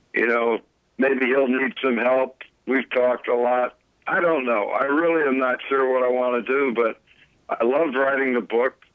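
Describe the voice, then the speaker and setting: A man's normal speaking voice at medium pitch, with an American accent, moderate pace, fairly even intonation and very even loudness. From Connecticut. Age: 60s. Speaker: retired college basketball coach. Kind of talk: interview.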